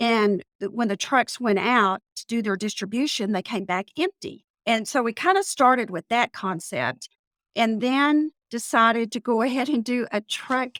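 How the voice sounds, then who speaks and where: Speaking at a fairly slow pace with hardly any pauses, a woman with a Texas accent uses lively intonation at a fairly high pitch, recorded very cleanly against a silent background with a dry, close sound and no echo. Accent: Texas twang. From Texas panhandle. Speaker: business owner. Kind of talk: podcast interview. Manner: casual, conversational.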